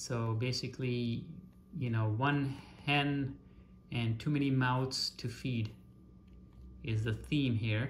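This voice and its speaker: A man speaks very slowly and somewhat breathily, with long, frequent pauses and fairly even intonation. His loudness stays very even over light background noise. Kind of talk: show-and-tell commentary. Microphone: phone near.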